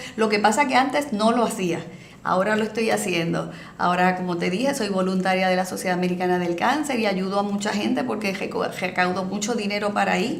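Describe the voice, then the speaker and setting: Amid noticeable background noise and audible room echo, the speaker talks at a fairly quick pace with ordinary pitch variation. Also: woman, medium pitch for a woman. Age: 60s. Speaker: municipal health program coordinator. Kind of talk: interview.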